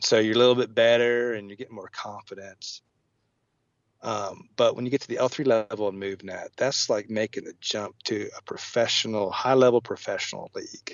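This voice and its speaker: Big swings in loudness from a man talking at a moderate pace. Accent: American. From southwest Virginia. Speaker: physical therapist. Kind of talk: podcast interview. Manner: halting, many fillers.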